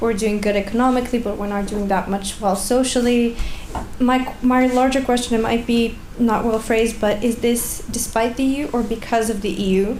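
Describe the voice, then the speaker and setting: The intonation stays monotone and flat. Audible room echo and noticeable background noise surround the voice. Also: woman, fairly high pitch for a woman, moderate pace. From Bulgaria. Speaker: researcher, audience member asking a question. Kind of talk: conference Q&A question.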